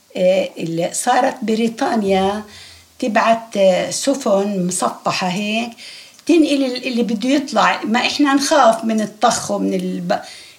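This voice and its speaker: Noticeable background noise sits behind a woman speaking at a fairly high pitch and fairly slow pace with lively intonation. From Palestine, Haifa. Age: 80s+. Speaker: refugee interviewee. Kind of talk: oral history interview.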